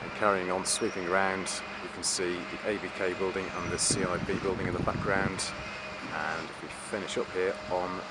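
Loud background noise surrounds a man talking at a moderate pace in a dry sound with no echo. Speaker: campus tour narrator. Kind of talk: commentary. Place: street. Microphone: phone near.

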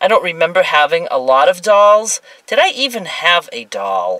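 In a dry sound with no echo and a quiet background, a woman speaks at a fairly slow pace. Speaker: vlogger. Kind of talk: casual vlog chat. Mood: chatty, laughing. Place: car. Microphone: phone near.

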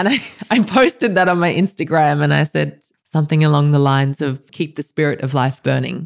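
A woman talks at a very fast pace, broken by long, frequent pauses. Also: dry, close sound with no echo. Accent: Australian. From rural New South Wales, Australia (near Goulburn). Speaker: art curator. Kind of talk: casual interview.

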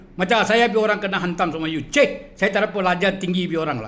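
A man's high-pitched voice, angry and animated, with lively intonation. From Malaysia. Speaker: video blogger. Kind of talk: angry rant. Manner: angry, insulting, animated.

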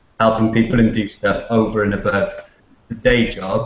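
A man with a Cardiff accent is heard with audible room echo. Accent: Welsh (Cardiff). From Cardiff, Wales. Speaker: author and PR professional. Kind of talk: interview answer. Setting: video call. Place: office. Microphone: video call.

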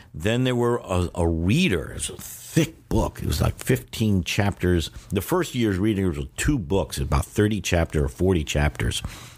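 Over noticeable background noise, a man talks fairly slowly with a very deep, low pitch. His pitch swings very widely while his loudness stays very even. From New York. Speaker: Chinese language teacher. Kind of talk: interview. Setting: hotel room.

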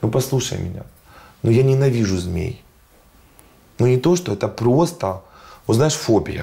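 A man with a dark, mellow, somewhat breathy tone talks at a moderate pace with lively intonation. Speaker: fashion designer and agency director; interview guest. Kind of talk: casual interview chat. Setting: studio. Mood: lively storytelling. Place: studio. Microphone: lapel.

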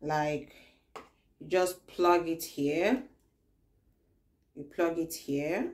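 A soft-spoken, fairly low-pitched woman's voice at a very slow pace, with ordinary pitch variation, big swings in loudness, and long, frequent pauses. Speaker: beauty product reviewer. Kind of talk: product review tutorial. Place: home room. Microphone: phone near.

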